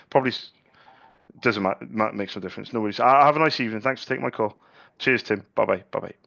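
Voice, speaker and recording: Speaking at a very fast pace yet with long, frequent pauses, a man uses a medium pitch and ordinary pitch variation. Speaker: ink sales rep. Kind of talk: sales cold call. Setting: phone call. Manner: halting, repeats words.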